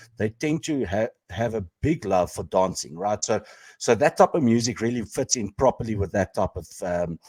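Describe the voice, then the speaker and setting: With a South African accent, a man speaks at a fairly low pitch using lively intonation. The recording is very clean, with a silent background and a dry, close sound with no echo. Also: moderate pace. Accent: Afrikaans South African. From South Africa, Pretoria. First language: Afrikaans. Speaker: podcast co-host. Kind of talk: casual chat. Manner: halting, many fillers.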